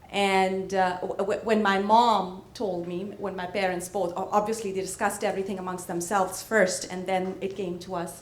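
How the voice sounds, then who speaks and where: Against noticeable background noise, a woman speaks at medium pitch and a moderate pace. Her intonation is monotone and flat, with hardly any pauses. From India (Punjab). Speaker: real estate business owner. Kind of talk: panel discussion.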